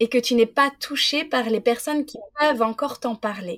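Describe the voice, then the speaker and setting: A woman's high voice in a very clean recording against a silent background. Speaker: podcast host. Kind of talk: interview. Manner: animated.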